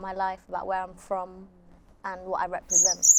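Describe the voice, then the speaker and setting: A woman with a London accent, medium in pitch, at a fairly quick pace. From London, England. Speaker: musician. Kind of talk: interview. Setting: outdoors, windy. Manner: soft-spoken; quiet.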